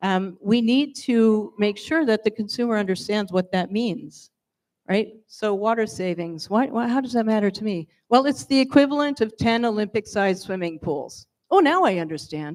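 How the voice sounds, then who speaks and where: An ordinary speaking voice from a woman with an American accent, fairly high in pitch, with lively intonation at a moderate pace. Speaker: wine industry panelist. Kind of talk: panel discussion.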